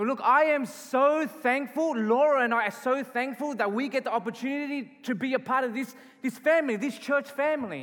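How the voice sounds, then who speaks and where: The speech moves at a fairly quick pace with hardly any pauses, in an Australian accent. Its intonation stays fairly even. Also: man, extremely high pitch for a man. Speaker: pastor. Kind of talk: sermon. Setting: church.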